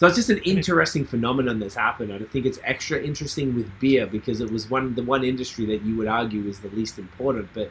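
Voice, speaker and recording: Speaking at a very fast pace, a man has a medium pitch and ordinary pitch variation. His voice is somewhat breathy. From Australia, Melbourne. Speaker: podcast host. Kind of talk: casual chat. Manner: animated.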